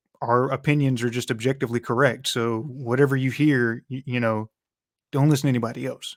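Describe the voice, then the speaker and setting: A man at medium pitch and a fairly quick pace. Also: very clean recording, silent background. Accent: Georgia. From US South, Georgia. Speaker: sports podcast co-host. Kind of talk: casual chat. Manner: casual, halting.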